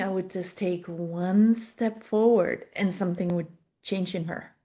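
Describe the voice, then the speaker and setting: Fairly even intonation in a somewhat breathy female voice. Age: 60s. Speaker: life coach and horse trainer. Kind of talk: podcast interview conversation.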